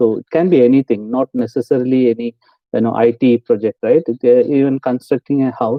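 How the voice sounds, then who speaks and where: The man's pitch sits in the medium range. He moves at a fairly quick pace with fairly even intonation. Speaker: IT project manager. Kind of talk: online interview Q&A with students. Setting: video call. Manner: fast; hesitant, many fillers.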